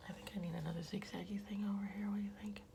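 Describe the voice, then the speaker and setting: There is audible room echo around a woman's voice. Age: 40s. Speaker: artist and vlogger. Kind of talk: casual chat while drawing. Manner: rambling, hesitant; whispering, quiet.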